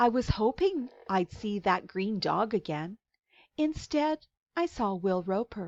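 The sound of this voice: The reading voice is unforced, and the intonation is lively. Nothing else is heard in the quiet background.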